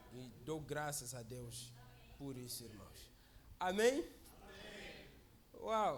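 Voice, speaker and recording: A man with a non-native accent, very wide pitch swings and audible room echo. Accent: foreign accent in Portuguese. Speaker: visiting preacher. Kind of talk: sermon. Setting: church service.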